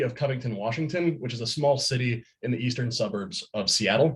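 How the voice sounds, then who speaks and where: A man's medium-pitched voice comes across somewhat breathy, its pitch varying in an ordinary way. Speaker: college student presenting internship. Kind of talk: student presentation. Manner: halting, with repetitions.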